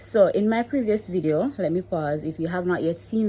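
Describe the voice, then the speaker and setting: With a Jamaican accent, a woman speaks at a moderate pace in a dark, mellow tone with ordinary pitch variation. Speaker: mommy vlogger. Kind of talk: casual vlog talk. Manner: code-switching between standard English and patois.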